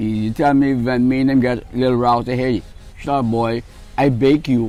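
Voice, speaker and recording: Music plays in the background as a man talks at a moderate pace. His pitch is medium and his intonation monotone and flat. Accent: Bahamian. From Bahamas. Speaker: Junkanoo cowbell player. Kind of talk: interview answer. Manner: charismatic, funny storytelling.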